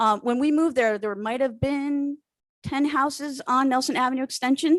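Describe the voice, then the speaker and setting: A woman speaks loudly with a dry, close sound and no echo. The recording is very clean and the background silent. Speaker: town resident. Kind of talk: public comment at town meeting. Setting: town board meeting room.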